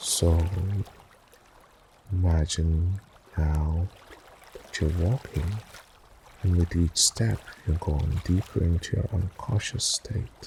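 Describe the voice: A man speaks in a low pitch with a husky, rough edge and a slightly mellow tone. His delivery is soothing and calm, with ordinary pitch variation.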